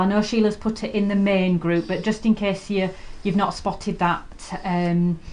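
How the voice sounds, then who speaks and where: A woman with a British accent speaks at a fairly slow pace in a monotone, flat intonation. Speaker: quilting shop owner and video host. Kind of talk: live sewing tutorial chat. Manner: hesitant, many ums; quiet while concentrating.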